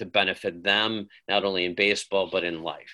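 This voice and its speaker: A man with an Upper Midwest accent, fairly low pitch, monotone, flat intonation and a moderate pace, in a very clean recording with a silent background. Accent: Upper Midwest American. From Wisconsin, Waukesha. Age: 50s. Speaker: high school baseball coach. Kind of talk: interview.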